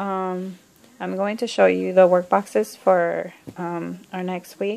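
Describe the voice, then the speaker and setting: The pace from this woman is very slow. Big swings in loudness run through her speech. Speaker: homeschooling parent. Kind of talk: tutorial. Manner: hesitant, many fillers.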